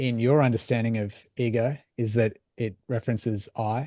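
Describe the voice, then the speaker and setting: Captured with a dry, close sound and no echo over a quiet background, a man speaks in a dark, mellow tone. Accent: Australian. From Australia. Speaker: mindset coach. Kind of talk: casual chat. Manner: halting.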